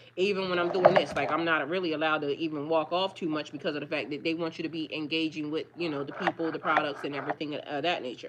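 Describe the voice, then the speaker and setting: Very deep and low in pitch, a woman talks at a very fast pace with hardly any pauses. Noticeable background noise runs beneath her. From Delaware, US. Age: 40s. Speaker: tarot reader and spiritual life coach. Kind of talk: casual livestream chat. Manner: occasional stammering.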